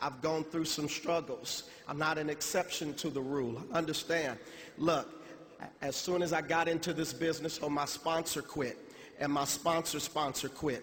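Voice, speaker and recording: Against noticeable background noise, the speaker talks at a moderate pace in a monotone, flat intonation. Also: man, fairly high pitch for a man. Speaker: motivational speaker. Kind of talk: motivational speech. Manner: halting; emotional.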